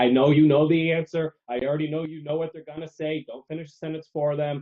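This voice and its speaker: This man talks at a fairly quick pace. His pitch sits fairly high. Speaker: sales trainer. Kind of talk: casual chat. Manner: fast.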